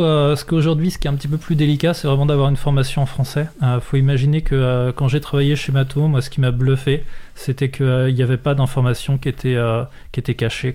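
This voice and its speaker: A man talks at a fairly quick pace, his voice somewhat breathy and fairly high, his intonation fairly even. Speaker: software trainer and consultant. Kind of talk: casual interview. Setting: radio studio. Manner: halting, many repetitions.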